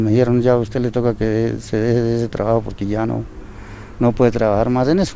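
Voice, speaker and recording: This man talks at a fairly quick pace in a medium pitch, his intonation monotone and flat. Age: 70s. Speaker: retired builder. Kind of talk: interview.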